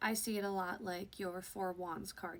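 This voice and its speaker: The delivery keeps a moderate pace with fairly even intonation. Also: woman. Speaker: tarot reader. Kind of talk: tarot reading. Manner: casual with many fillers.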